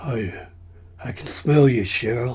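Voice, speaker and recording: A man's put-on character voice with lively intonation. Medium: stage play. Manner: teasing, drawn-out.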